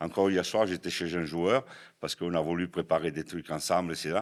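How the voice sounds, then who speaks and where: A man in a southern French accent speaks with a very deep, low pitch. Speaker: American football head coach. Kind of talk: podcast interview answer.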